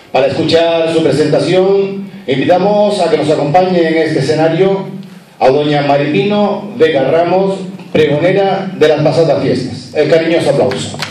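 A man's voice with ordinary pitch variation, a moderate pace and very even loudness, plus light background noise and audible room echo. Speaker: event presenter, master of ceremonies. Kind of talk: formal event presenting. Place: hall.

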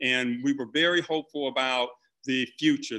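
Against a quiet background, the speaker keeps a moderate pace and fairly even intonation. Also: man. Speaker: law professor. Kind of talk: public testimony. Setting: video call. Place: home room. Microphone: video call.

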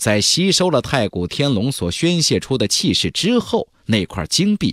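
A man talks at a fairly slow pace, his pitch swinging very widely. His tone is fairly bright, and the recording is very clean with a silent background.

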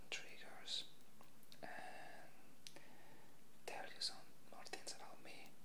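The voice of a man comes through in a whisper. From Mexico. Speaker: ASMR creator. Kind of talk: ASMR rambling to camera. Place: home room. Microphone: earbuds.

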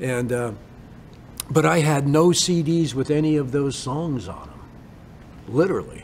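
With an American accent, a man speaks at a fairly slow pace with long, frequent pauses, his fairly high pitch showing ordinary variation and his loudness swinging widely, amid audible room echo and noticeable background noise. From US Pacific Northwest (Bremerton, Washington). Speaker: songwriter and musician. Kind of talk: casual interview storytelling.

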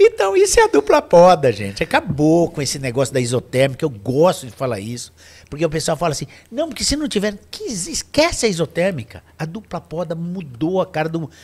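A high-pitched man talks at a fairly quick pace. His pitch swings very widely. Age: 60s. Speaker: wine association director; podcast guest. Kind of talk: casual chat. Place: studio. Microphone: studio mic.

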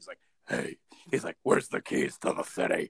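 A man's raspy, put-on character voice at an extremely high pitch, delivered at a fairly quick pace. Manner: aggressive.

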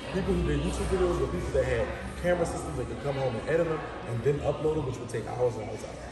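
Clear music plays in the background. A man talks over it at a very fast pace. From New Orleans, Louisiana (7th Ward). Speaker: social media personality. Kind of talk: casual chat. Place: home room.

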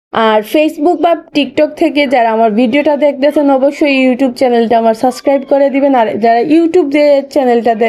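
Her high-pitched voice has a dark, mellow tone, ordinary pitch variation and very even loudness as this woman speaks. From Bangladesh, Sylhet. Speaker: video blogger. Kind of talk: casual vlog tutorial.

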